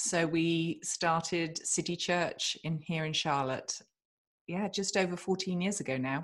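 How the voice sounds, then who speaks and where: A woman speaks with a British accent and fairly even intonation. The background is quiet. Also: fairly low pitch for a woman. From England. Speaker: author and podcast host. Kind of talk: interview, casual chat.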